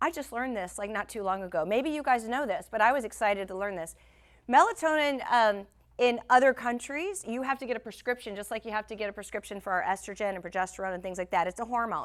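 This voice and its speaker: A woman talks at a very fast pace with lively intonation and a fairly high pitch. The recording is very clean, with a silent background. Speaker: wellness workshop host. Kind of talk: workshop talk. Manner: casual.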